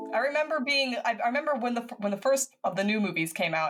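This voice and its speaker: Ordinary pitch variation from a woman with an American accent. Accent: American accent, noticeable to Swedes. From United States, military family moving often. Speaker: crime novelist and guest. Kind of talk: casual chat. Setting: remote podcast recording. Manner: halting, many false starts. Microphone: new microphone and setup.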